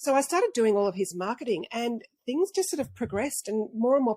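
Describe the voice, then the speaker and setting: Speaking fairly quickly, a woman has an Australian accent. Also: dry, close sound with no echo. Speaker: dental marketing consultant. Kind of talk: interview.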